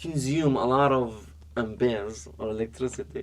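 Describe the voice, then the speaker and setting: A man talks with an Arabic accent. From Iraq, raised also in Dubai and China. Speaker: entrepreneur, app co-founder. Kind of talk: podcast interview. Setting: studio. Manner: halting, many fillers and repetitions.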